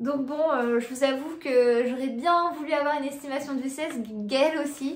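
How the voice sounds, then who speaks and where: A woman speaks in a high voice with ordinary pitch variation. Some room echo can be heard. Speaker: family vlogger. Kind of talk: casual vlog talk to camera. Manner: halting, many hesitations.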